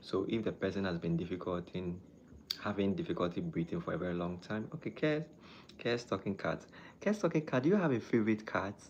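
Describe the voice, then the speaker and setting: In a Ghanaian accent, a man speaks fairly quickly at a fairly low pitch with very wide pitch swings. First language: not English. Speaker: doctor. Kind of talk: live stream chat and health talk. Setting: live stream. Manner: halting.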